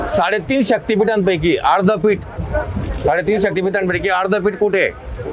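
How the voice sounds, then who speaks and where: Over crowd noise in the background, a man talks in a high pitch with ordinary pitch variation. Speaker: anchor, comedian, mimicry artist. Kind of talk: quiz show hosting. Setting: outdoors. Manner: upbeat.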